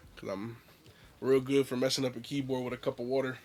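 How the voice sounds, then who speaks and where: Very fast delivery with monotone, flat intonation. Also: man. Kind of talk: casual story time to camera. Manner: casual, conversational.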